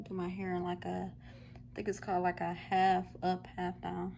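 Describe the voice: A woman speaks at a medium pitch with vocal fry. Her pace is moderate.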